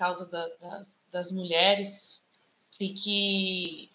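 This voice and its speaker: Her tone bright and sharp, a woman speaks at a very slow pace and a medium pitch. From Socorro, São Paulo interior. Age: 40s. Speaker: musician and activist. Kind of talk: panel talk.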